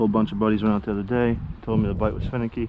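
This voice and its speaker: This man talks at a very fast pace. His pitch is fairly low and his intonation fairly even. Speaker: outdoors vlogger, angler. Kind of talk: casual vlog narration. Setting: outdoors by a creek. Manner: hushed.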